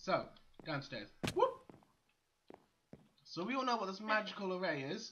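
A man speaks with lively intonation and a fairly bright tone at a fairly slow pace. There is audible room echo.

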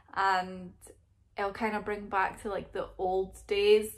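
A woman talks in a Scottish accent. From Scotland. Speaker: vlogger. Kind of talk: casual talk to camera. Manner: rambling. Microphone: phone near.

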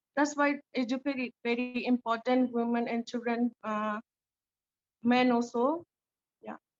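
A woman with a high pitch speaks in a monotone, flat intonation at a fairly slow pace. She takes long, frequent pauses while music plays in the background. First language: not English. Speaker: refugee community leader. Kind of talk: panel Q&A answer. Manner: halting.

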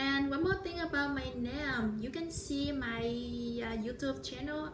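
Over noticeable background noise, a woman speaks at a fairly slow pace with a Vietnamese accent. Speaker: vlogger. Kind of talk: vlog monologue. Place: home room. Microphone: phone near.

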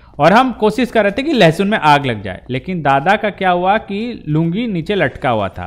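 Pitched high, a man speaks with very wide pitch swings. He leaves hardly any pauses. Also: moderate pace. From Jharkhand, India. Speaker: gaming YouTuber. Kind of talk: gameplay commentary. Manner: animated.

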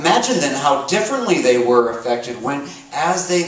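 A natural voice reading aloud

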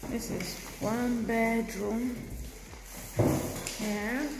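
Speech comes at a very slow pace with fairly even intonation and vocal fry, and audible room echo surrounds it. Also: woman, fairly high pitch for a woman.

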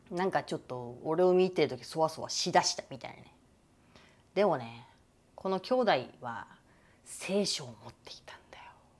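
A woman with a fairly low pitch speaks at a moderate pace, showing very wide pitch swings and big swings in loudness, with long, frequent pauses. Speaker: YouTuber. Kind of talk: casual vlog monologue. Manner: animated, frequent laughter.

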